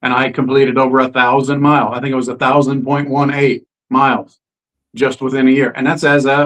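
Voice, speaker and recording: Fairly quick delivery in an unremarkable speaking voice. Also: man. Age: 60s. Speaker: interview guest sharing health story. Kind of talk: testimony. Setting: live stream.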